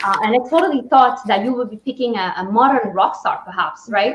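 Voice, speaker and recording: A woman's high voice in a Spanish accent, with ordinary pitch variation. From Spain. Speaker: talk show host. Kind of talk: interview.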